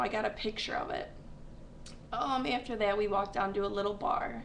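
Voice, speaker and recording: Amid audible room echo and noticeable background noise, a woman talks at a fairly quick pace in a fairly high pitch with ordinary pitch variation. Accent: American. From upstate New York. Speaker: vlogger. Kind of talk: casual webcam vlog. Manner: rambling with many fillers.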